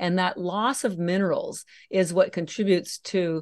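Here a woman speaks with a fairly low pitch and vocal fry. The background is quiet. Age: 60s. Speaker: algae nutrition company founder. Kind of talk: interview.

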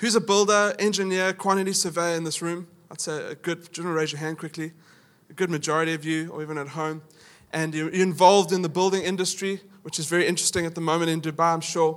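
Speaking in a South African accent at a very fast pace, a man uses a high pitch and a monotone, flat intonation. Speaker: pastor. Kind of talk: sermon. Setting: church. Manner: casual, humorous.

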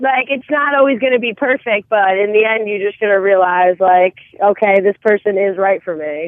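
An unremarkable speaking voice with an American accent, ordinary pitch variation and a moderate pace. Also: woman. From New Jersey. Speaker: caller. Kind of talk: call-in conversation.

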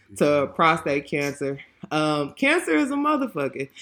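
Pitched very deep and low, a woman speaks with an American accent and a bright, sharp tone. The recording is very clean, with a silent background. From Texas (Lake Jackson). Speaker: podcast host, licensed counselor. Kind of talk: casual chat. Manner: animated.

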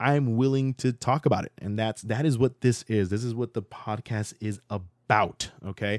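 An animated man with an American accent on a very clean recording with a silent background. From Florida. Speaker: podcast host. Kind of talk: solo podcast monologue.

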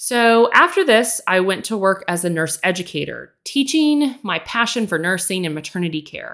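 A woman with an American accent and an unremarkable speaking voice talks at a moderate pace and medium pitch with lively intonation and hardly any pauses, on a very clean recording with a silent background. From Texas. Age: 40s. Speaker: podcast host, nurse and educator. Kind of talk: casual monologue.

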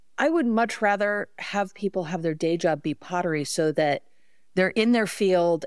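With a very clean recording and silent background, a woman talks in a normal speaking voice at medium pitch, moderate pace and ordinary pitch variation. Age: 50s. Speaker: pottery studio owner. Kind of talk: casual chat.

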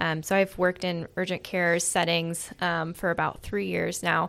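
A woman speaks in a Midwestern American accent at a moderate pace. Her pitch is fairly low, and her intonation fairly even. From Iowa, US Midwest. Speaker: physician assistant. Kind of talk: casual interview.

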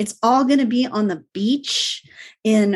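An unremarkable speaking voice from a woman, fairly high in pitch, with ordinary pitch variation at a moderate pace. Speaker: online sales coach. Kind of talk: panel discussion.

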